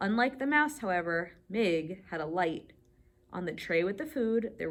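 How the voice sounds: Lively intonation runs through the clip. It belongs to a natural reading voice.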